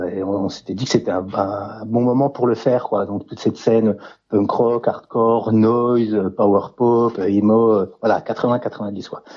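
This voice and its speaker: A man's very slow, monotone delivery with flat intonation. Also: medium pitch for a man. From France, mountain village near Swiss border. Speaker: author. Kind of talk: interview.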